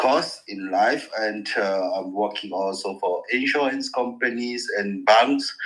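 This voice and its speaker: A man at a medium pitch, with noticeable background noise. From France. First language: French. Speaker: caller working in insurance and banking. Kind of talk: call-in discussion. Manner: halting, hesitant.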